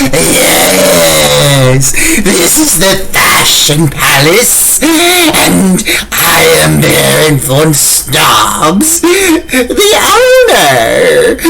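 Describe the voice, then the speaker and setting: Over loud background noise, a man does a put-on character voice at a very slow pace. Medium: audio drama. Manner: huffy, grumbling.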